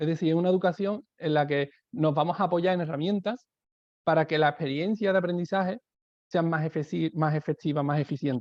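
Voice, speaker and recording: Fairly quick in pace, this man speaks at a fairly high pitch. His pitch variation is ordinary. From southern Spain. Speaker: education speaker, teacher. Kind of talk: webinar talk. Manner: hesitant, many fillers.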